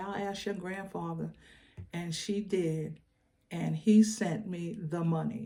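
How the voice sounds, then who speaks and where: There is audible room echo as a woman speaks at a medium pitch with fairly even intonation and a dark, mellow, somewhat breathy tone. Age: 70s. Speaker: faith vlogger. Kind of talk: personal storytelling. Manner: halting, repetitive.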